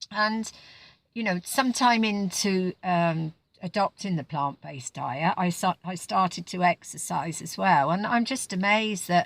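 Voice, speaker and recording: A woman speaks at a medium pitch with ordinary pitch variation, the sound dry and close with no echo. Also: fairly slow pace, very clean recording, silent background. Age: 60s. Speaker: vlogger. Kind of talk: personal testimony. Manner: halting.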